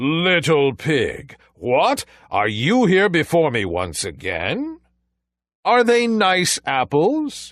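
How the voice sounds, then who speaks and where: A man puts on a character voice, speaking at a very slow pace with a high pitch. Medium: read story. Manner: threatening, sly.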